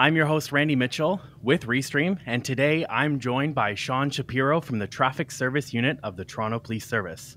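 The man's voice comes through dry with no echo, at a moderate pace. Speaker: live stream host. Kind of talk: show host introduction. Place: home room. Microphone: studio mic.

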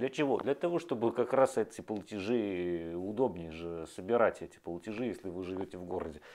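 A man's fairly low voice at a fairly quick pace, lively in intonation, with hardly any pauses. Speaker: video blogger. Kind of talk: monologue to camera. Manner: animated. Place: home room. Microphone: lapel.

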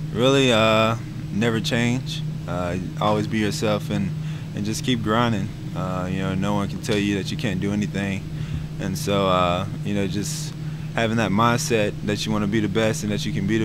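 A man speaks at a moderate pace. The sound is dry with no echo, under loud background noise. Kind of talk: interview answer. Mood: calm, relaxed. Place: hall. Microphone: handheld.

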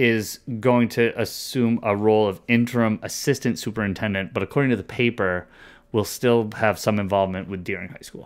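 With fairly even intonation and a fairly low pitch, a man talks at a fairly quick pace over a quiet background. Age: 40s. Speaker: podcast co-host discussing school district. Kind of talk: casual chat. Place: home room. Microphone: studio mic.

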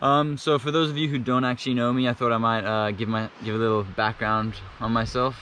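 A man at a fairly quick pace, light background noise, dry sound with no echo. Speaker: spearfishing vlogger. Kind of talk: casual vlog chat. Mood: happy, relaxed. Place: beach. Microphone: phone near.

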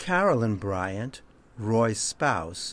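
The speech is very slow, with ordinary pitch variation and a dry sound with no echo. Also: man. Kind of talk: introduction to a performance. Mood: calm, warm, measured.

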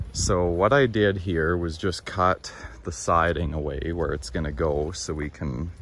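Over noticeable background noise, a man speaks at a very deep, low pitch with ordinary pitch variation in a dry sound with no echo. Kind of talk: casual vlog chat. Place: garden. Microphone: phone near.

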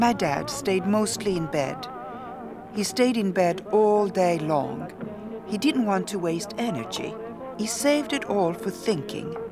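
With music playing behind her, a woman talks at a fairly slow pace with lively intonation. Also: medium pitch for a woman. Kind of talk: storytelling narration about her father.

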